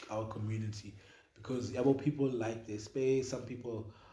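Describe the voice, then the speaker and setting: With fairly even intonation and a medium pitch, a man talks as noticeable background noise and audible room echo fill the recording. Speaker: podcast co-host. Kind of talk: casual chat. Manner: loud.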